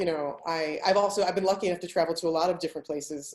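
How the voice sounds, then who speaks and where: A woman with an American accent at a very fast pace, with fairly low pitch and fairly even intonation. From United States. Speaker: travel writer and blogger. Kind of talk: panel discussion. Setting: webinar video call.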